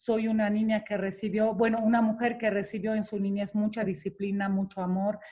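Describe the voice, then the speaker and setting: In a Romanian accent, a woman speaks with a fairly high pitch and a dark, mellow tone that is somewhat breathy. Her intonation is monotone and flat, at a moderate pace. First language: Romanian (speaking Spanish). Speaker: public personality interviewed about love and relationships. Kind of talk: interview.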